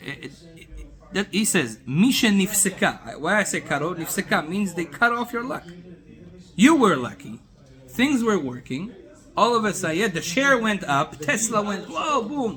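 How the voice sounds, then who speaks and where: A man speaks in an animated tone with a high pitch and very wide pitch swings. Noticeable background noise runs underneath. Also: moderate pace. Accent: non-native. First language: not English. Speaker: rabbi teaching Torah class. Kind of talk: Torah lecture to a small group. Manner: animated, with repeated filler words.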